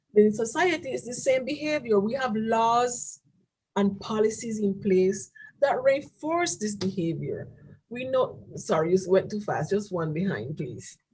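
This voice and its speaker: Pitched fairly high, the woman's voice is somewhat breathy. Her pitch swings very widely. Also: fairly slow pace. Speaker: presenter at church webinar. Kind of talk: presentation with slides. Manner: halting, repeats words.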